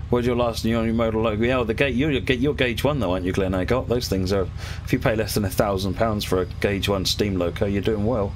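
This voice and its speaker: A man's fairly low voice with a British accent at a very fast pace, over light background noise. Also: ordinary pitch variation. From UK. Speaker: gaming streamer. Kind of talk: live-stream commentary while gaming. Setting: home streaming setup. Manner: casual, chatty. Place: home room.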